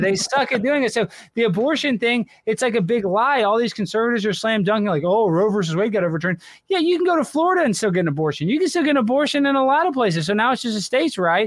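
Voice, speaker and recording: A man speaks very fast, his high pitch swinging very widely, with an American accent. The recording is very clean, with a silent background. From Texas. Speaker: comedian and political commentator. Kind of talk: casual chat. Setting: live stream.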